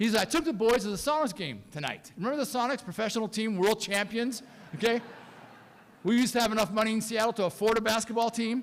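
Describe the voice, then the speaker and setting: This man talks at a very fast pace in a high pitch, with ordinary pitch variation. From France, raised in US from age ten. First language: French. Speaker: pastor. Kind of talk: eulogy.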